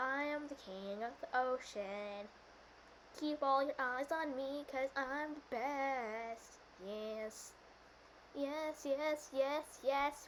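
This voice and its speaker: Over clear background noise, someone uses a put-on character voice at a very slow pace. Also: female-sounding voice, high pitch for a woman. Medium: role play. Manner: grandiose, boastful.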